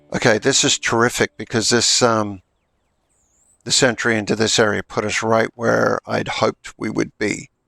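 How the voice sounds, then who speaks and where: A man speaks at a moderate pace in a medium pitch, his intonation flat and monotone with vocal fry. The tone is bright and sharp, and the sound is dry and close with no echo. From Australia. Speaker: gaming streamer. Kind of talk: casual gameplay stream chat.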